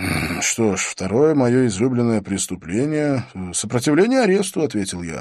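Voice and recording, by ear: Lively intonation from a natural voice reading aloud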